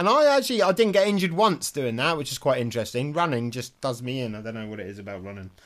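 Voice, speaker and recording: With an English accent, a man at medium pitch races along at a very fast pace with hardly any pauses and very wide pitch swings. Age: 40s. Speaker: dog sport competitor. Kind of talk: casual chat.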